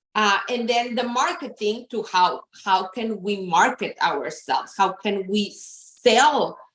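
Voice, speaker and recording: Her pace very slow, a woman talks with ordinary pitch variation. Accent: Spanish. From Mexico. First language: Spanish. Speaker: therapist and counseling practice owner. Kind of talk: interview.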